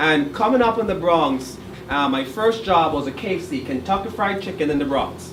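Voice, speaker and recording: Speaking at a moderate pace with lively intonation, the voice comes in a Jamaican accent. Audible room echo and noticeable background noise fill the recording. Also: man. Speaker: college director. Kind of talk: public speech.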